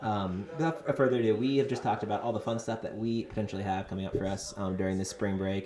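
In an American accent, a man with a fairly low pitch and ordinary pitch variation talks very fast amid noticeable background noise. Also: hardly any pauses. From US South. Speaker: medical student podcast host. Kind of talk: casual chat.

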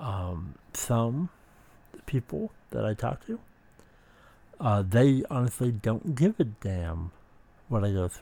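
Speaking at a very slow pace with long, frequent pauses, a man uses a medium pitch, lively intonation and a dark, mellow tone that is somewhat breathy. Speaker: podcast host. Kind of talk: personal monologue about mental health. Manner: halting, many fillers.

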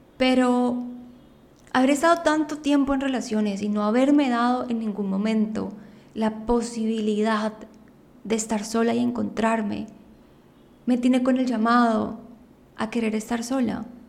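A woman's fairly high voice at a fairly slow pace, with long, frequent pauses, fairly even intonation and audible room echo. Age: 20s. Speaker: podcast host. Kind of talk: personal monologue. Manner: improvised.

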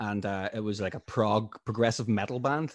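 Over a quiet background, a man with a Northern Irish accent speaks at a fairly low pitch. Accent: Northern Irish (Tyrone). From Northern Ireland, Strabane, County Tyrone. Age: 30s. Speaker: musician. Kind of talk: casual interview.

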